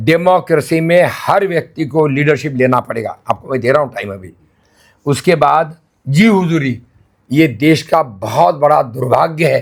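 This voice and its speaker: Somewhat breathy, a man with a fairly high pitch speaks with lively intonation. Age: 80s+. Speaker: retired senior civil servant turned monk. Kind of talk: interview.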